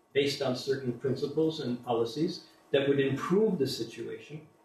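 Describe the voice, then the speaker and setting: With audible room echo around him, a man with an American accent speaks at a moderate pace. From USA. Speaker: invited speaker on alternative economics. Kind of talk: public talk to an audience.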